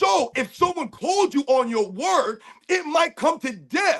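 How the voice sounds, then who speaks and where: A man speaks at a fairly slow pace. His tone is animated and his intonation lively. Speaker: basketball panel host, military veteran. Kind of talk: casual panel discussion. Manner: animated, high energy.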